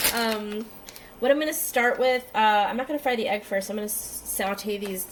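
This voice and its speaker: Amid noticeable background noise, a woman at medium pitch talks at a moderate pace with ordinary pitch variation. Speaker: home cook vlogger. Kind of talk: casual talk to camera. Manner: hesitant, many fillers.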